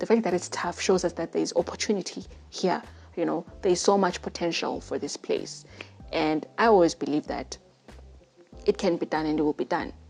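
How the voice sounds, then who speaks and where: A woman with a Zimbabwean accent, music playing in the background. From Zimbabwe, Bulawayo. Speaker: podcast host. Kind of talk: testimony. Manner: casual, halting.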